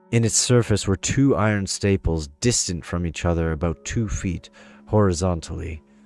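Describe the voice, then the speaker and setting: Music plays in the background. The speaker keeps a moderate pace with ordinary pitch variation. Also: man. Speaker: gaming streamer. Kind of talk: short story reading.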